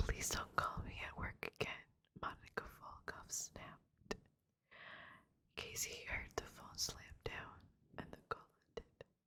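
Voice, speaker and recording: Long, frequent pauses break up the whispering, which moves at a fairly slow pace. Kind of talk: ASMR story reading. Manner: whispered.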